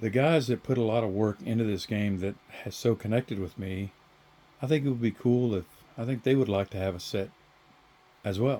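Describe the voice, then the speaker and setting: A man speaks with a dark, mellow tone. He leaves long, frequent pauses. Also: medium pitch for a man, ordinary pitch variation, fairly quick pace. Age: 60s. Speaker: board game hobbyist and 3D printing maker. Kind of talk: casual video address to game creators. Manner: hesitant, many fillers.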